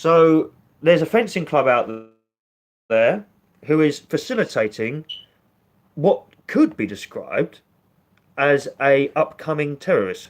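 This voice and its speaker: Someone speaks with a British accent. Long pauses come often. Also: man, fairly slow pace. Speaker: political commentary vlogger. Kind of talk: online commentary. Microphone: poor connection.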